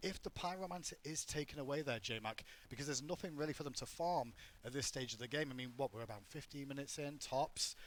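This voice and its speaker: In an English accent, a man speaks at a very fast pace. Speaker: esports commentator. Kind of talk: live commentary; on-air announcement.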